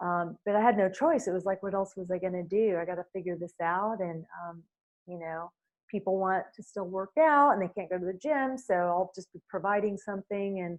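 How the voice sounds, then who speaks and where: A woman talks at a fairly quick pace in a medium pitch. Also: ordinary pitch variation. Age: 60s. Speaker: fitness instructor. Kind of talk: interview. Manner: hesitant, many fillers.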